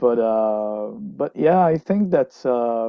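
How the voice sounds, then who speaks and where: The man's pitch varies in an ordinary way. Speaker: metal band lyricist and musician. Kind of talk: interview. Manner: halting, many fillers.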